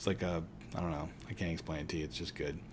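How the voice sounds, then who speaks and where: A man with an American accent speaks with audible room echo. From Pittsburgh, Pennsylvania. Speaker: teacher. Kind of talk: lecture. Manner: casual, conversational.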